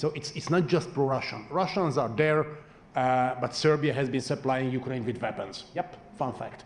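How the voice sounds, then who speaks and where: A man with a fairly high pitch and ordinary pitch variation. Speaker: panelist on foreign policy. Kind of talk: panel discussion. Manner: fast.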